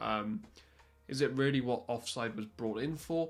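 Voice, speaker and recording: Music plays behind a man with a Welsh accent. He speaks at a moderate pace with ordinary pitch variation. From Wales. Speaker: football commentator youtuber. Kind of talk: unscripted podcast monologue. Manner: occasional stutters and fillers; animated.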